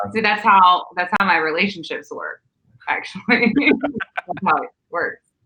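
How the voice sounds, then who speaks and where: With a Southern US accent, a woman speaks at a medium pitch and a fairly slow pace, her intonation lively. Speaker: podcast host, guest on another podcast. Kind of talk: casual chat.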